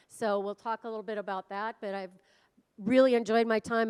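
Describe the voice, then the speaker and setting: A fairly high-pitched, energetic woman's voice with ordinary pitch variation, dry and close with no echo, on a very clean recording with a silent background. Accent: American. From US Midwest, northern Minnesota. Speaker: automation program lead. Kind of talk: conference presentation. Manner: loud.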